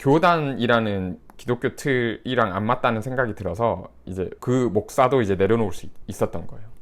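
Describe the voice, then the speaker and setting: In a very clean recording with a silent background, a man uses a normal speaking voice at a medium pitch and a moderate pace. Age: 30s. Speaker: YouTuber and former pastor. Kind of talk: casual commentary monologue. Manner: conversational, mixed casual and polite speech.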